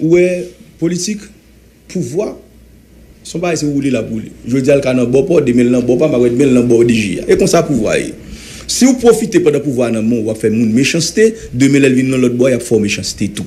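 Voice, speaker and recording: The intonation is lively and the pace moderate. Long, frequent pauses break up the speech. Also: man. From Haiti. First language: Haitian Creole (speaking French). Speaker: former senator. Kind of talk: heated debate. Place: studio. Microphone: studio mic.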